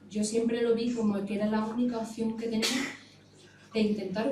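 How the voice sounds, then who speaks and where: A fairly high-pitched woman's voice, with noticeable background noise and audible room echo. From Extremadura, Spain (Navalmoral de la Mata). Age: 30s. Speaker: emigrant political activist. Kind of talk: panel talk.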